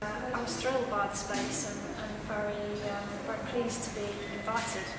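A woman at a moderate pace, with audible room echo and loud background noise. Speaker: artist. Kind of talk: interview answer. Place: hall.

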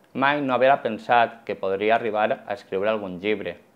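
Here a man speaks at a moderate pace. His pitch shows ordinary variation. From Valencia, Ribera del Xúquer (Algemesí); Valencia, Spain. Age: 30s. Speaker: schoolteacher and children's author; schoolteacher. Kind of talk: personal testimony interview. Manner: slightly halting. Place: shop. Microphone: lapel.

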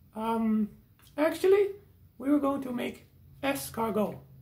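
A cartoonish character voice, fairly high in pitch, moves along at a fairly slow pace. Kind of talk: comedy puppet sketch. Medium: puppet.

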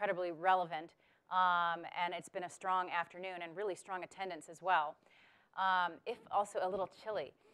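A woman speaks at a fairly quick pace in a flat, monotone delivery. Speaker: panel moderator. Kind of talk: event introduction. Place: hall.

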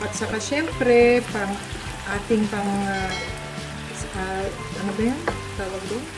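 A woman's voice amid noticeable background noise. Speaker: home cook vlogger. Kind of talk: casual cooking tutorial chat. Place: kitchen.

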